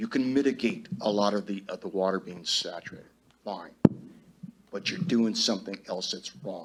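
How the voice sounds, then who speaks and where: A man with an American accent talks at an even, moderate speed while noticeable noise fills the background. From US West (Los Angeles area). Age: 70s. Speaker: resident speaking at public hearing. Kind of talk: public comment at town meeting.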